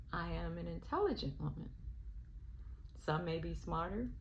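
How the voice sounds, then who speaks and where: A woman speaks with a Southern US accent, and audible room echo surrounds her voice. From US South, Alabama. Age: 60s. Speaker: spiritual vlogger. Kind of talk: personal reflection monologue. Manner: hesitant, with filler ums.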